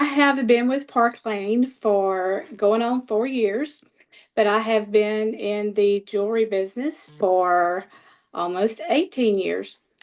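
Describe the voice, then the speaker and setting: A woman speaks with a Southern US accent at a very slow pace. Her pitch is fairly high, with ordinary variation. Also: quiet background. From US South, Mississippi. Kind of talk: personal testimony. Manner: hesitant, many fillers.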